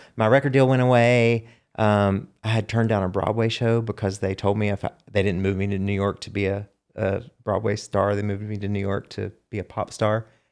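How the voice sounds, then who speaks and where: A man speaks at a fairly quick pace in a monotone, flat intonation. The recording is very clean, with a silent background. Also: fairly low pitch for a man. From US South. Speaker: songwriter and singer. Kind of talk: casual chat.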